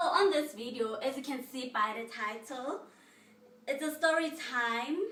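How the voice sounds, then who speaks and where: In a South African accent, a woman speaks at a fairly slow pace with a bright, sharp tone. Her voice is high-pitched, with ordinary pitch variation. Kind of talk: casual storytime to camera.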